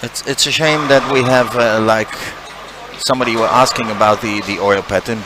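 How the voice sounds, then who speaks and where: The intonation stays fairly even against noticeable background noise. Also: man. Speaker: bowling commentator. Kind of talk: live commentary. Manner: halting.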